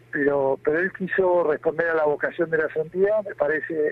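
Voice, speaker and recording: This man's voice sits at a fairly high pitch, with ordinary pitch variation at a moderate pace. It is an ordinary speaking voice. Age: 60s. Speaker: bishop. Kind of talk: interview.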